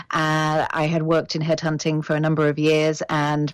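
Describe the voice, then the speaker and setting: A woman speaks with a British accent. Her pitch is very deep and low, and her pace is moderate. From Britain. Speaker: executive headhunter and coach. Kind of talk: interview.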